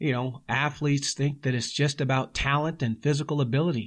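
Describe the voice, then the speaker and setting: A man's medium-pitched voice, warm in tone, at a moderate pace with fairly even intonation over a quiet background. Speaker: podcast host and sports coach. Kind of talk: pep talk, motivational coaching speech on discipline and preparing to compete. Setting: studio podcast. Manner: earnest, driving, emphatic, rhythmic repetition in building phrases; warm, conversational, with filler words.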